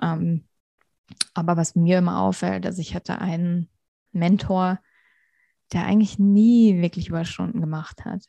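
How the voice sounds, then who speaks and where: In a quiet background, a woman with a fairly low pitch and a somewhat breathy, dark, mellow tone speaks at a moderate pace with fairly even intonation and long, frequent pauses, the sound dry and close with no echo. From Hesse, Germany. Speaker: interview guest, professional. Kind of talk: interview.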